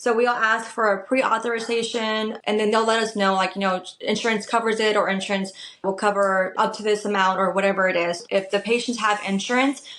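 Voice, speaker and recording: With noticeable background noise behind her, a woman speaks fairly quickly in a fairly high, flat monotone, with hardly any pauses and very even loudness. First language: Spanish. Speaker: medical tattoo artist. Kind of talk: podcast interview.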